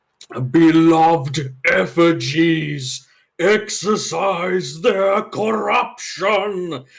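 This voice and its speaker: A man bellows in a put-on character voice at a high pitch. He speaks at a very slow pace. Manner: bellowing.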